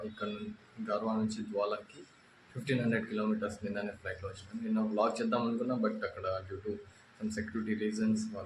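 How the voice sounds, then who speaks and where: Amid noticeable background noise, a man with a fairly low pitch delivers his words in a monotone, flat intonation. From Andhra Pradesh, India. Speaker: travel vlogger. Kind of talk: casual travel vlog talk to camera.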